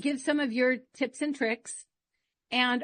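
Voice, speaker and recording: Here a woman speaks at a high pitch. Her intonation stays fairly even. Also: quiet background. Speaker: podcast host, former radio host. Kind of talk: podcast host conversation.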